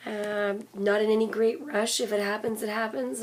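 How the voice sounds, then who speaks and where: Noticeable background noise sits under this recording. A woman speaks at a fairly slow pace in a fairly high pitch. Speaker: vlogger. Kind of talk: personal vlog review. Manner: casual, hesitant with fillers.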